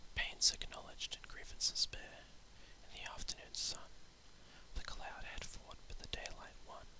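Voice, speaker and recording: Someone whispers over noticeable background noise. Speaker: poet. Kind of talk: poetry reading. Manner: whispered.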